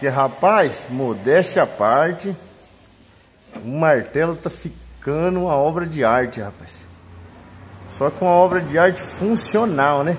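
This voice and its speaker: A man talks with lively intonation and long, frequent pauses. Light background noise can be heard. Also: fairly slow pace. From Brazil. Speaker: paintless dent repair technician. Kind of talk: tutorial. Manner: casual, colloquial. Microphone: phone near.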